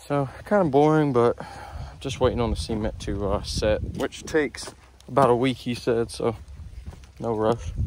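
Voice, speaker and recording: With noticeable background noise and a dry, echo-free sound, a man talks at a moderate pace with ordinary pitch variation and long, frequent pauses. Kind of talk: casual vlog chat. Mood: relaxed, unhurried. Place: open country. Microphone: phone near.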